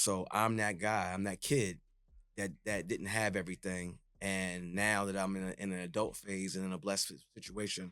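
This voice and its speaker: At a moderate pace, a man talks in a very deep, low voice with monotone, flat intonation and a bright, sharp tone. The recording is very clean, with a silent background. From New York City (Jamaica, Queens). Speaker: DJ and retired radio personality. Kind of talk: podcast interview. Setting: studio.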